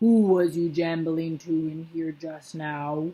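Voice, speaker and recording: A female-sounding put-on character voice booms out loud at a middle pitch. The pace is fairly slow. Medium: read story. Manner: bullying, loud.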